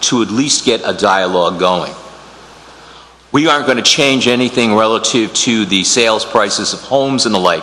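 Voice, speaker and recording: With an American accent, a man speaks at a medium pitch with ordinary pitch variation, amid noticeable background noise and audible room echo. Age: 60s. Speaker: lawyer and committee applicant. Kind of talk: public meeting statement. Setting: town council chamber. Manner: halting, many fillers.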